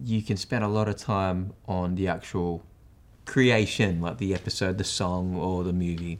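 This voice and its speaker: Speaking in an Australian accent at a moderate pace, a man has a very deep, low pitch. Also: very clean recording, silent background. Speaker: podcast host and branding speaker. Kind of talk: interview.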